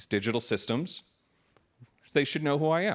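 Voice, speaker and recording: A man talks with vocal fry. The sound is dry and close, without echo. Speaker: conference speaker, software architect. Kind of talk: conference talk. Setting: stage with audience. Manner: loud.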